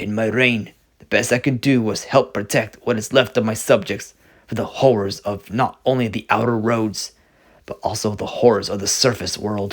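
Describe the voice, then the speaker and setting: A man speaks in a put-on character voice at medium pitch and a moderate pace. The recording is very clean, with a silent background. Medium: read story. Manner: formal, regal.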